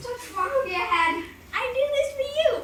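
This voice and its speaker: Light background noise sits behind a put-on character voice. The pitch is extremely high. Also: moderate pace. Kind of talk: rhymed children's storybook reading. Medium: read story. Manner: rhyming, sing-song.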